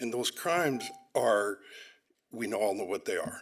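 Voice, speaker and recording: A man with a Pacific Northwest accent at a moderate pace, on a very clean recording with a silent background. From US Pacific Northwest, Olympia, Washington. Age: 60s. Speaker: public commenter. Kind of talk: public comment at a council meeting. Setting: council chamber podium.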